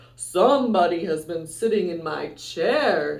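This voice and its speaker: This man puts on a character voice, pitched high and delivered fairly slowly. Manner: gruff.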